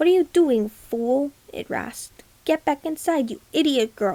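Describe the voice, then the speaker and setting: A woman puts on a high-pitched character voice at a moderate pace. It is raspy, with growling. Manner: snarling, insulting.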